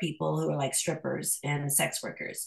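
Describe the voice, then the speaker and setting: Speaking at a moderate pace, a woman has a bright, sharp tone with vocal fry. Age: 40s. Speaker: Gnostic priestess and shadow work teacher. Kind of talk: casual chat.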